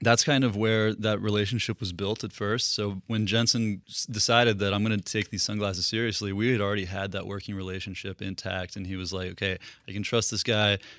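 Over a silent background in a very clean recording, a man with a fairly low pitch talks at a fairly quick pace in a monotone, flat delivery. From Russia, moved to US East Coast at eight. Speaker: business founder. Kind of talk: interview.

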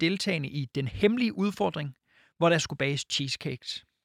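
On a very clean recording with a silent background, a man speaks in a high pitch with lively intonation. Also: dry, close sound with no echo. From Jutland. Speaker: podcast co-host. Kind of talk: reading aloud; casual chat.

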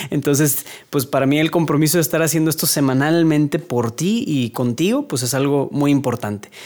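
A man's fairly high voice at a fairly quick pace, with very even loudness, ordinary pitch variation and noticeable background noise. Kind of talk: casual monologue. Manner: stuttering, hesitant.

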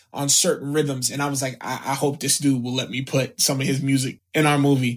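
In an American accent, a man speaks at a fairly high pitch. His voice is somewhat breathy. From US South, South Florida. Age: 20s. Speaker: actor. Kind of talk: casual chat.

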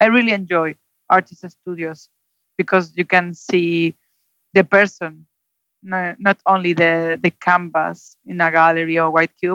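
In a Spanish accent, a woman speaks at a fairly low pitch in a monotone, flat intonation. The sound is dry and close with no echo. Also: fairly slow pace. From Spain, Zaragoza. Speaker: gallery director. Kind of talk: interview. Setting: Skype call. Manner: halting, many fillers.

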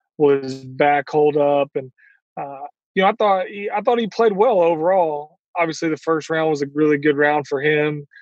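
A man speaks with an unremarkable speaking voice at a fairly high pitch. His pace is moderate and his pitch variation ordinary. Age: 40s. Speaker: professional golfer. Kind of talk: interview.

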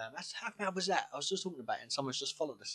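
Lively intonation runs through this man's speech, delivered with a British accent. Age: 20s. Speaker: podcast co-host. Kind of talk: casual chat.

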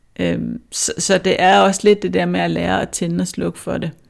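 The recording is very clean and the background silent. A woman is the one talking. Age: 40s. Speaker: author and public speaker. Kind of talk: interview conversation. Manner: hesitant, with fillers.

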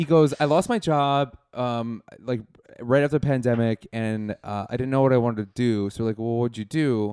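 A man with an American accent uses an ordinary speaking voice at medium pitch and a moderate pace, with ordinary pitch variation. The very clean recording has a silent background and a dry, close sound with no echo. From Wisconsin, Milwaukee. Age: 40s. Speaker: comedian. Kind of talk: casual chat.

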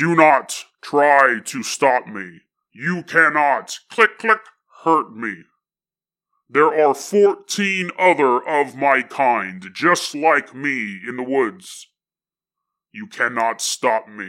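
A man performs a put-on character voice at a fairly high pitch. He speaks at a very slow pace. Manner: cold, threatening.

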